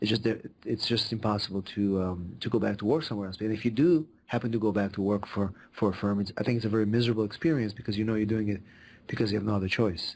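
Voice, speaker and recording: A man with an Israeli accent and fairly low pitch, at a very fast pace with fairly even intonation, on a very clean recording with a silent background. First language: Hebrew. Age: 40s. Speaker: immigration lawyer. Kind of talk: podcast interview. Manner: halting, many fillers.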